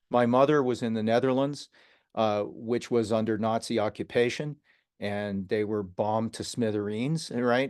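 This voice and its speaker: In an American accent, a man talks at a moderate pace and medium pitch with fairly even intonation over a quiet background. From Ohio, US (Youngstown). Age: 60s. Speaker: scientist and business development professional. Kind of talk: interview storytelling. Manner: conversational with frequent fillers.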